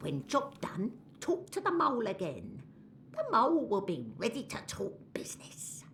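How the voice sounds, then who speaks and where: Over light background noise, a female-sounding voice performs a put-on character voice. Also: moderate pace. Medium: video game. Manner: broken English, drops articles and verb endings.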